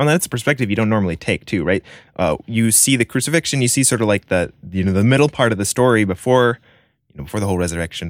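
On a very clean recording with a silent background and a dry, close sound with no echo, a man speaks very fast in a fairly low voice. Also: lively intonation. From Spain. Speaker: podcast co-host and producer. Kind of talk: casual chat.

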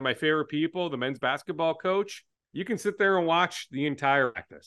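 A man speaks in a plain, everyday voice. His pace is moderate and his intonation lively. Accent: American. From Minnesota, Twin Cities. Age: 40s. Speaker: sports reporter and TV anchor. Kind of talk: casual interview.

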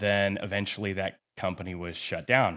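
A man with an American accent has a normal speaking voice. He talks at a moderate pace and a fairly low pitch. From Kansas. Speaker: real estate investor. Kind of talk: interview. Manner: casual, filler-heavy.

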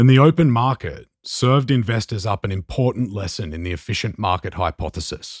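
A man with an Australian accent talks at a fairly quick pace with hardly any pauses, lively intonation, medium pitch and a somewhat breathy voice, in a very clean recording with a silent background and a dry, close sound with no echo. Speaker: journalist and podcast host. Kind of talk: interview podcast with scripted narration.

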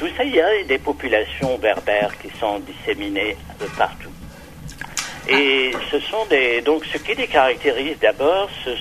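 A fairly high-pitched man speaks at a very slow pace with lively intonation over noticeable background noise. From Algeria. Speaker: poet and writer. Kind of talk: interview. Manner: halting, many hesitations.

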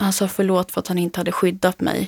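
The recording is very clean, with a silent background and a dry, close sound with no echo. The voice has a dark, mellow tone and a moderate pace. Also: woman. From Sweden, Uppland (Knutby). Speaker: author. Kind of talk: interview testimony. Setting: studio.

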